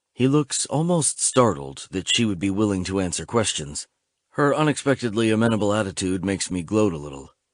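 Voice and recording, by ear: Someone is reading aloud in a natural voice with lively intonation. The background is quiet.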